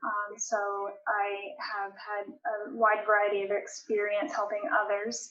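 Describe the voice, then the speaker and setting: A woman speaks at a very slow pace in a medium pitch, with an American accent. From US, northern Maine. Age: 30s. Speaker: case manager and runner. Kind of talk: podcast interview. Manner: hesitant, many fillers.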